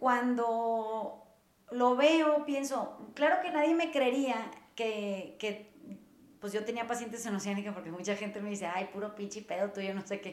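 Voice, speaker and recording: Fairly slow, lively speech in a Mexican accent, with audible room echo and noticeable background noise. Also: woman, fairly high pitch for a woman. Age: 40s. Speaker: podcast host, therapist. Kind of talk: casual chat.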